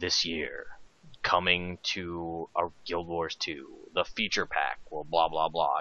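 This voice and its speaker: A booming, put-on character voice delivers its lines at a fairly slow pace in a flat monotone. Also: man, very deep, low pitch for a man. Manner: trailer announcer.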